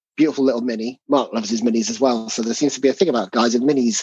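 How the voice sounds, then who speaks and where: With an English accent, a man speaks in a dry, close sound with no echo. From England. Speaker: tabletop game designer. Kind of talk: casual interview.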